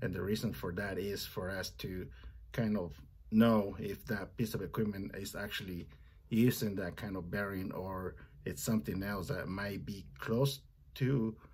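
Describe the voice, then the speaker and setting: At a moderate pace, a man talks in a fairly low, somewhat breathy voice. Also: ordinary pitch variation. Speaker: parts counter worker. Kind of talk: tutorial. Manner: hesitant, with fillers.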